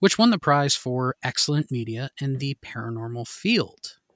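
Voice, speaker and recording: A man with an unremarkable speaking voice, fairly high pitch for a man, moderate pace and a dry, close sound with no echo. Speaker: podcast host. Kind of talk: casual interview conversation.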